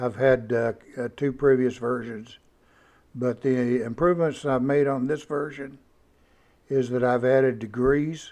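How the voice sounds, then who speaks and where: With a Texas accent, a man speaks at medium pitch and a fairly slow pace. His intonation is fairly even, broken by long, frequent pauses. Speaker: hobbyist machinist and maker. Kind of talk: tutorial. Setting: home workshop. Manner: halting, frequent fillers; casual, folksy.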